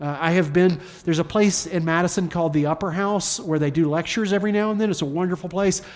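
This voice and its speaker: The speaker has a Southern US accent. The pace is very fast. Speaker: pastor. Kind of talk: sermon. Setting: church. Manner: informal, humorous.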